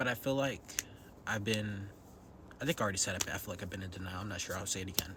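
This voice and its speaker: A man talks at a very fast pace at a fairly low pitch with ordinary pitch variation, leaving long, frequent pauses. Noticeable background noise runs behind him. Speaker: vlogger. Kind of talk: personal vlog monologue. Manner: whispering; hesitant with many ums.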